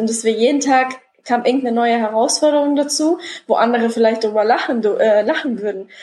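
A woman's high-pitched voice with a dark, mellow tone, fairly even intonation and a moderate pace. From Lower Saxony, Germany. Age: 20s. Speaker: first-time seminar speaker on personal development. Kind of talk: interview, personal story.

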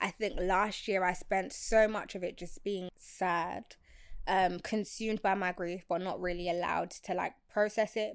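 A woman speaks at a medium pitch and a fairly slow pace, her intonation monotone and flat. The recording is very clean, with a silent background. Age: 20s. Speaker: freelance social media consultant. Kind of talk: casual interview chat.

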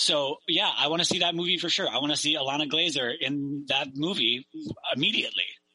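A man with a Canadian accent and an unremarkable speaking voice talks at a fairly quick pace and fairly high pitch, keeping his loudness very even. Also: fairly even intonation. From Victoria, British Columbia, Canada. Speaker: stand-up comedian. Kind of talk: casual chat.

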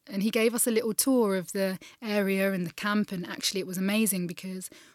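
Speaking at a fairly quick pace in a southern English accent, a woman uses medium pitch and fairly even intonation. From England. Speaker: refugee charity founder. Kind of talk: interview. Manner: hesitant, many fillers.

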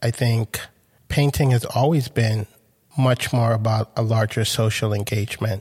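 On a very clean recording with a silent background, a man of medium pitch speaks at a moderate pace in a somewhat breathy voice, with very even loudness and fairly even intonation. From Grenada and Brooklyn, New York. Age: 40s. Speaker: artist. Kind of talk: interview conversation.

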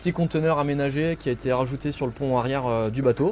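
A plain, everyday voice from a man, medium in pitch, at a fairly quick pace. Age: 30s. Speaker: marine biologist. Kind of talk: casual explanation.

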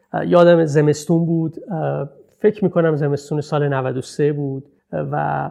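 Pitched fairly high, this man has a normal speaking voice with ordinary pitch variation. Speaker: researcher and speaker on cinema, city and narrative. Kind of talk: talk.

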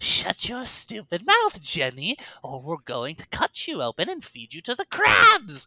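A put-on character voice at a middle pitch, menacing in tone and cackling, at a moderate pace with hardly any pauses. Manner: cackling, menacing.

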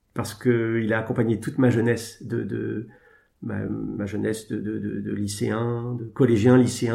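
A man with a medium-pitched, dark and mellow voice speaks in a flat monotone with vocal fry, and the room echo is audible. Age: 40s. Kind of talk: interview. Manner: halting.

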